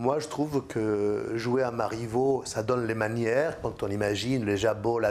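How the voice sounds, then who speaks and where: The man's pitch is medium, with ordinary pitch variation. He speaks at a fairly slow pace. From Argentina. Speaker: theatre director. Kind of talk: interview answer. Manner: halting.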